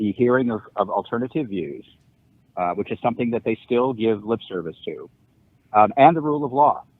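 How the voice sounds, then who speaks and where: A man with an American accent and an unremarkable speaking voice, moderate in pace, with ordinary pitch variation. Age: 60s. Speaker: law professor. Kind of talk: podcast interview.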